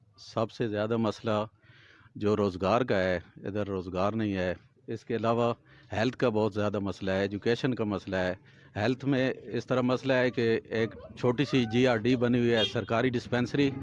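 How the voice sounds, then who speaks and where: A man at medium pitch speaks with fairly even intonation in a plain, everyday voice. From Makhad, Punjab, Pakistan. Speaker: local journalist and former councillor. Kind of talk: interview statement to camera.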